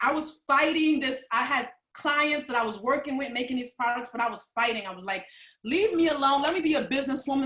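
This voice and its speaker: A woman uses a raised, projected voice with high pitch, a bright, sharp tone and ordinary pitch variation. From New York City, the Bronx. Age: 40s. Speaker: vendor, holistic product maker. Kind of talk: personal testimony at a live online event. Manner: animated, expressive storytelling.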